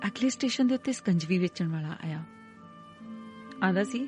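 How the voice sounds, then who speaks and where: Over music in the background, a woman speaks in a raised, projected voice. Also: dry, close sound with no echo. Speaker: voice-over artist. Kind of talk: audiobook story narration.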